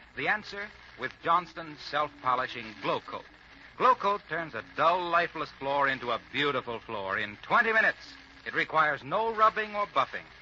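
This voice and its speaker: Noticeable background noise sits behind a man speaking at a moderate pace. His voice is high for a man, with very wide pitch swings. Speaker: radio announcer. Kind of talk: old-time radio commercial read.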